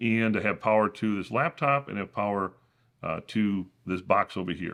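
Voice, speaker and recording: Against a quiet background, a man is speaking. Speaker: tech YouTuber. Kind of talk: tutorial. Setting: home studio.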